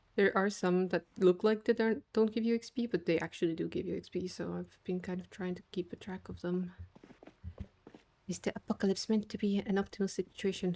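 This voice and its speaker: A woman speaks with a non-native accent at a medium pitch, her tone dark, mellow and relaxed. Her intonation stays fairly even, broken by long, frequent pauses. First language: not English. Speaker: gaming streamer. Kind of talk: casual livestream chat.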